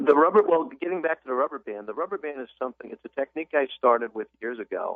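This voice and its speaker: A man talks very fast with hardly any pauses. His fairly high voice carries lively intonation. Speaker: author and business consultant. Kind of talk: radio interview.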